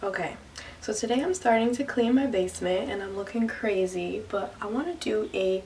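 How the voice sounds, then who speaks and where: A woman talks at a moderate tempo with lively intonation while noticeable background noise fills the recording. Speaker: lifestyle vlogger. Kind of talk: casual vlog. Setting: basement at home. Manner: animated.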